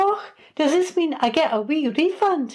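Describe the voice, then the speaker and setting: Using a put-on character voice in a Scottish accent, a woman squeaks at an extremely high pitch with very wide pitch swings, keeping a moderate pace. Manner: chuckling.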